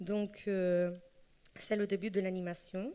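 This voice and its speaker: A woman speaks at a medium pitch with fairly even intonation. She has a slight Italian accent. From Italy. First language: Italian (speaking French). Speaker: association speaker on early childhood languages. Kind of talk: conference talk. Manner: hesitant, many fillers.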